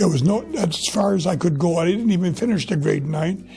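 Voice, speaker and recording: With music in the background, a man talks in a high pitch with lively intonation. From Quebec, Gaspé Peninsula. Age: 80s+. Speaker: retiree. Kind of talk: life story interview. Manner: halting.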